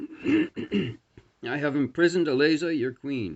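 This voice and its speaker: A put-on, robotic character voice speaks at a fairly slow pace. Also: man. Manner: emotionless.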